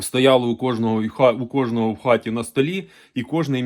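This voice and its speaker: Heard on a very clean recording with a silent background, this man's pitch varies in an ordinary way. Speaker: farmer and livestock video blogger. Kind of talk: casual vlog monologue. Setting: on his farm. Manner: hesitant, filler-heavy.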